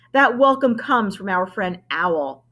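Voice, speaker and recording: Using a put-on character voice, a woman growls at a medium pitch. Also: moderate pace. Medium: read story. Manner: gentle.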